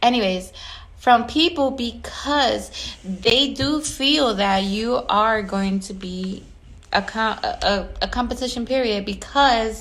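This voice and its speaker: A woman with ordinary pitch variation is heard amid audible room echo. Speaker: event planner and decorator. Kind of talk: casual vlog monologue. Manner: animated.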